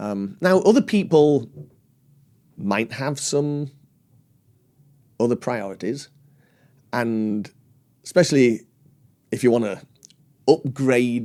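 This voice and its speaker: A man of medium pitch with a British accent speaks at a very slow pace, using lively intonation and long, frequent pauses. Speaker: loudspeaker designer. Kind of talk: interview answer. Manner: articulate.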